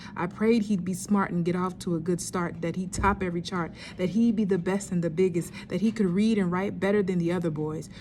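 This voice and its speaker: Her voice is somewhat breathy, at a medium pitch, and the speaker is a woman. She talks at a fairly quick pace in a monotone, flat way. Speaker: spoken word poet. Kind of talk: spoken word poetry performance.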